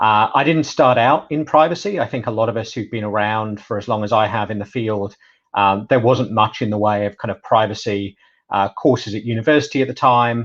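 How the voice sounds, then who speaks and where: A man with a British accent at a fairly quick pace, medium in pitch with ordinary pitch variation, against a quiet background. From UK. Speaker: data privacy specialist. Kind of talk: webinar presentation.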